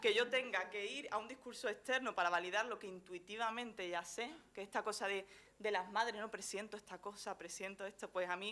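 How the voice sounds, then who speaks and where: A woman talks at a moderate pace with a medium pitch. Her intonation is fairly even. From Andalusia, Chiclana de la Frontera (Cádiz). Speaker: journalist and gender specialist. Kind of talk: conference talk. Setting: lecture hall stage with audience. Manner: hesitant, many fillers.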